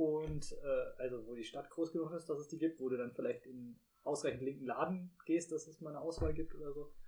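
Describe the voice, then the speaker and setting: In a plain, everyday voice, a man talks at a fairly quick pace and fairly high pitch, with fairly even intonation and hardly any pauses. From Rhineland-Palatinate, Germany. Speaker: podcast co-host. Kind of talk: casual chat.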